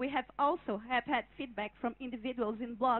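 With a Portuguese accent, a woman speaks at a high pitch and a fairly quick pace. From Brazil. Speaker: conference participant speaking for a working group. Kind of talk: prepared statement at a conference. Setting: conference hall with audience. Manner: halting, repeats words at times. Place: hall. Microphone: handheld.

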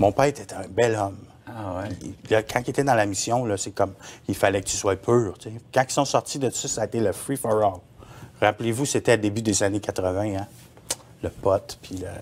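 A man speaks at a moderate pace and a fairly low pitch, with fairly even intonation. He leaves long, frequent pauses. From Quebec. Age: 40s. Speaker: former sect member; interview guest. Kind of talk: testimony. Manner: halting. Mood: earnest, recounting personal past. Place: studio.

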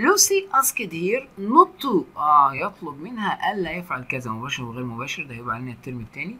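With hardly any pauses, a man talks in a high voice that makes very wide pitch swings and big swings in loudness. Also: moderate pace. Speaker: English teacher. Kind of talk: lecture.

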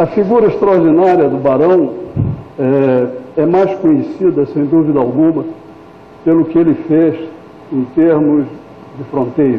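The speaker goes at a fairly slow pace with ordinary pitch variation and long, frequent pauses. Audible room echo and noticeable background noise are present. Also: man, fairly high pitch for a man. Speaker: diplomat, ambassador. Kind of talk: lecture. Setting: hall with audience.

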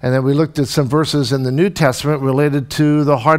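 A man's fairly high voice against a quiet background. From Canada (Windsor, Ontario); Ontario, Canada. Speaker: pastor; visiting professor lecturer. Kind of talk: sermon. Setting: church. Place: church. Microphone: podium.

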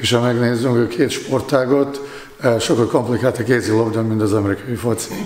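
Audible room echo surrounds a man speaking at a medium pitch. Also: fairly even intonation, moderate pace. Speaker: handball goalkeeping coach; handball goalkeeper coach. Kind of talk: sports interview. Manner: halting, frequent fillers. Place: empty room.

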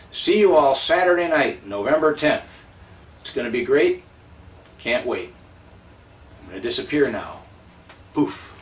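A man speaks at a fairly slow pace with long, frequent pauses. His loudness swings widely, and the room echo is audible. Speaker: magician, speaker and live auctioneer. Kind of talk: promotional teaser video message. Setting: addressing audience directly. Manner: upbeat, friendly. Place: home room. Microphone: phone near.

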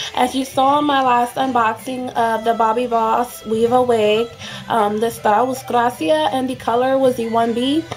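A woman at a moderate pace with fairly even intonation, faint music in the background. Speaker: beauty product reviewer. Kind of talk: casual talk to camera. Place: home room. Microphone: webcam.

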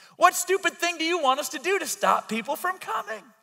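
Over music in the background, a man talks at a very fast pace. His voice is raised and projected. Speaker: pastor. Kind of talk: sermon. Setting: church service, live audience. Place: church. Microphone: headset.

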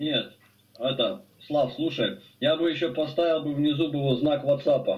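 A man talks at a fairly slow pace in a normal speaking voice. His pitch is fairly high and his loudness very even. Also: fairly even intonation. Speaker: participant in a discussion. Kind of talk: casual chat. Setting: video call. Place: home room.

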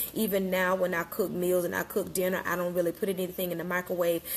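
A woman talks at a very fast pace in a fairly low pitch. Her intonation stays monotone and flat. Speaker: wellness coach. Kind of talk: casual live-stream talk. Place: kitchen. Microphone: phone near.

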